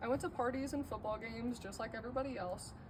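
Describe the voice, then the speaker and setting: A very fast pace with noticeable background noise and audible room echo. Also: woman. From Colorado, US. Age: 18. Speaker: college student. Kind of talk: class speech.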